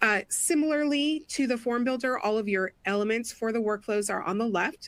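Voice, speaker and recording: A woman with a fairly high pitch speaks at a very even loudness and with ordinary pitch variation. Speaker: product education manager. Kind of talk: webinar tutorial demo. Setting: online webinar. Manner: fast.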